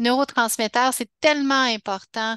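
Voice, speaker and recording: Very slow speech with fairly even intonation, a dry, close sound with no echo and a quiet background. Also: woman. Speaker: health educator. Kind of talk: webinar talk. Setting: online webinar. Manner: halting, many restarts.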